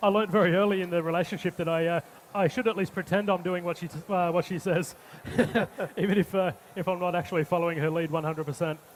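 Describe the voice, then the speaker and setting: With an Australian accent and fairly even intonation, the speech comes at a very fast pace over noticeable background noise. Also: man, high pitch for a man. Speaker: chef. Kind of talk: live cooking demonstration. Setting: stage with audience. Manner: halting, many fillers.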